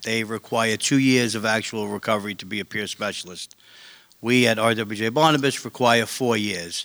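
In a New York accent, a man speaks at a moderate pace in a bright, sharp tone, with ordinary pitch variation and big swings in loudness. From Staten Island, New York. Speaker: recovery support worker. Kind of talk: panel discussion.

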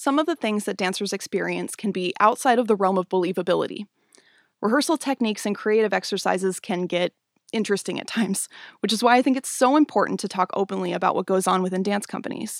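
Speaking very fast in an American accent, a woman with vocal fry and a medium pitch uses ordinary pitch variation on a very clean recording with a silent background and a dry, close sound with no echo. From US Pacific Northwest (Spokane, Washington). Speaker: podcast host and dancer. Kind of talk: scripted monologue. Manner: measured, read-aloud delivery.

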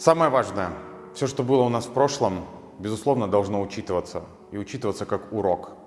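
A man is talking. Music plays in the background. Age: 20s. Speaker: hair colouring instructor. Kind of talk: motivational monologue. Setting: solo video recorded in one take.

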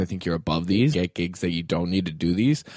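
At a very fast pace, a man talks with ordinary pitch variation, the sound dry and close with no echo against a quiet background. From South Dakota (Brookings). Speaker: comedian. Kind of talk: casual chat.

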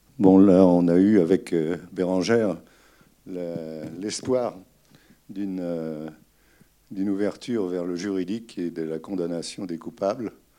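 Very slow and very deep, a man's dark, mellow voice holds a fairly even intonation, broken by long, frequent pauses. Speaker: retired gynecologist. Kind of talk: panel talk after film screening.

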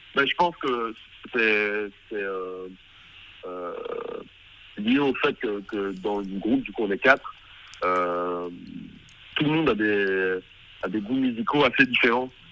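A man with a fairly low pitch and a bright, sharp tone speaks very slowly, with ordinary pitch variation and long, frequent pauses. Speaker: musician. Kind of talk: interview. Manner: halting.

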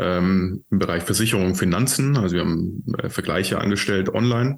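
Moderately paced and fairly low, this man's voice is an ordinary speaking voice. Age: 30s. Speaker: entrepreneur, CEO of a sustainable building company. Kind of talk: interview conversation.

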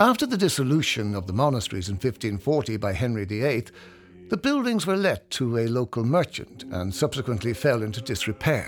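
Here is an unremarkable speaking voice from a man. His medium pitch carries lively intonation at a moderate pace. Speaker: audio tour guide narrator. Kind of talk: scripted heritage-trail narration, reading prepared history to a walking listener. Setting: studio-recorded audio guide. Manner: measured, evenly paced storytelling with place-name detail; warm, inviting tone for a self-guided tour.

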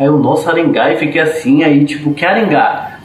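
A man's fairly high-pitched voice at a fairly quick pace, with audible room echo and noticeable background noise. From Salvador, Bahia. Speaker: podcast panelist. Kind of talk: casual chat.

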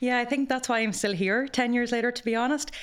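A woman speaks with an Irish accent. Her pace is very fast. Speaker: graduate program head, former teacher. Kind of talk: podcast interview.

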